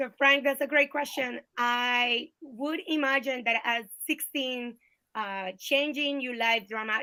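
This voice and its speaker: A woman with a Colombian accent speaks at a high pitch. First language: Spanish. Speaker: political candidate. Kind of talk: interview. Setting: video call.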